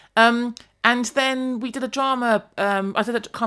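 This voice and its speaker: A woman speaks loudly in an animated tone that is bright and sharp. The recording is very clean with a silent background. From England, Devon. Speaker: educator. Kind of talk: podcast interview.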